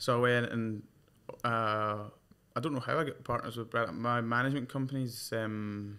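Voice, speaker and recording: A man's bright, sharp, medium-pitched voice in a Glaswegian accent, with fairly even intonation. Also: moderate pace. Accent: Glaswegian Scottish. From Scotland, Glasgow. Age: 20s. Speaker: professional golfer. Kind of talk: casual chat.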